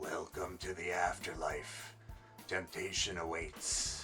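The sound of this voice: A man's raspy, put-on character voice at a fairly slow pace, with clear music in the background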